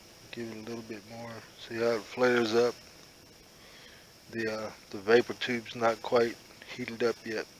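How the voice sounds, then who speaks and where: At a moderate pace and medium pitch, a man speaks in a flat monotone with long, frequent pauses over noticeable background noise. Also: big swings in loudness. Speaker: outdoor cooking vlogger. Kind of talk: casual tutorial. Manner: halting, many fillers.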